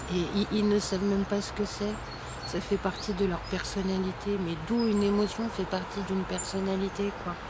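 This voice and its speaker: Amid noticeable background noise and audible room echo, a woman speaks at a moderate pace in a medium pitch. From war-torn country abroad. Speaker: online course presenter. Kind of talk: video lesson. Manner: animated.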